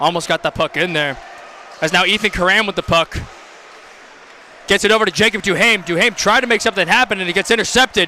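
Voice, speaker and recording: A man speaks very fast in a raised, projected voice, high in pitch with ordinary pitch variation. Long pauses come often, and there is noticeable background noise. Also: dry, close sound with no echo. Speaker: amateur hockey play-by-play commentator. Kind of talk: live sports commentary. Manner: stumbling over words at times.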